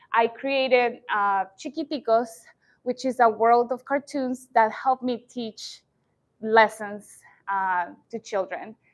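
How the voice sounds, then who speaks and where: A woman's fairly high voice in a Spanish accent, very slow with ordinary pitch variation, the sound dry and close with no echo on a very clean recording with a silent background. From Colombia. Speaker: entrepreneur and educator. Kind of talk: startup pitch presentation.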